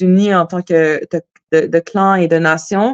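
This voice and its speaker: The speech comes at a very slow pace with fairly even intonation, dry and close with no echo, over a quiet background. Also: woman. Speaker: singer-songwriter. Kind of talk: casual interview.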